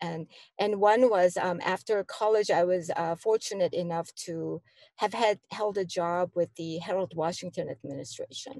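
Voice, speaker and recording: In a Korean accent, a woman speaks at a medium pitch with a dark, mellow tone, the sound dry and close with no echo. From South Korea, then Chicago from age 12. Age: 60s. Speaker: community organization director. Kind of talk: interview conversation. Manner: hesitant, many fillers.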